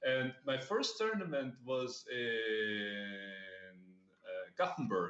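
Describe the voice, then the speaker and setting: With music in the background, a man talks at a very slow pace. His medium-pitched voice swings very widely in pitch. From Germany (Bavaria). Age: 30s. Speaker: poker player. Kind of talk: casual interview.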